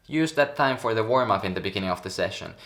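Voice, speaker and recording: This man has a strong Finnish accent and a medium pitch. His pitch varies in an ordinary way. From Finland. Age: 20s. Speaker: pro tricker. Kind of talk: coaching advice talk.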